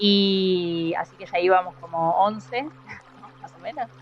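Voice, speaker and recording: A woman speaks at medium pitch. Her pitch variation is ordinary. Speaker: scientist. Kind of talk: interview. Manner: halting.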